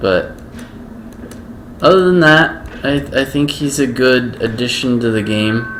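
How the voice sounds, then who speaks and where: A man speaks with long, frequent pauses. Background noise is noticeable and room echo is audible. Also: medium pitch for a man, fairly slow pace. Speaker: gaming streamer. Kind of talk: gameplay commentary. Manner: monotone; casual, halting.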